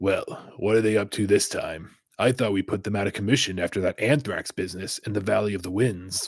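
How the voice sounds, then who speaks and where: Using a put-on character voice, a man speaks raspily at a fairly quick pace and a fairly low pitch, with fairly even intonation and a dry, close sound with no echo. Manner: jolly.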